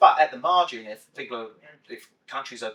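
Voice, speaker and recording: The words come fairly quickly. They are spoken in a British accent. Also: man. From UK. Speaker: investment portfolio specialist. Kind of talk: podcast interview.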